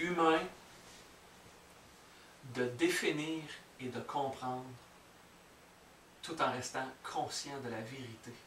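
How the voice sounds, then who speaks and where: Amid noticeable background noise, a man with a Quebec accent speaks very slowly at a medium pitch, his intonation fairly even, his loudness swinging widely, with long, frequent pauses. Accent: Québécois French. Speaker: spiritual teacher. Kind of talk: spiritual teaching talk to an audience.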